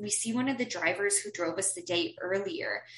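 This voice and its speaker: A woman talks at a moderate pace in a plain, everyday voice with medium pitch. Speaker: podcast host. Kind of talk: casual chat.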